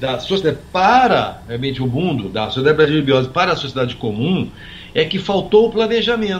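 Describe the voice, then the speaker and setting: Noticeable background noise sits behind a man's voice. He speaks at a moderate pace with very wide pitch swings. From Brazil, Minas Gerais (São Lourenço). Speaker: physician and author. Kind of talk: interview conversation. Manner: halting, with many repetitions.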